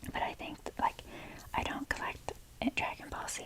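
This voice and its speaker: A whisper moves at a fairly slow pace against noticeable background noise. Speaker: ASMR creator. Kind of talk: ASMR whisper talk. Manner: whispering; rambling.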